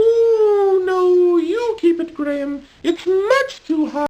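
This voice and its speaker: A put-on character voice, squeaky and extremely high-pitched, at a very slow pace. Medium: video game. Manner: fretful, exclamatory.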